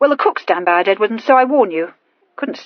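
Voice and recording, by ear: With lively intonation, the speaker is reading aloud in a natural voice over a quiet background.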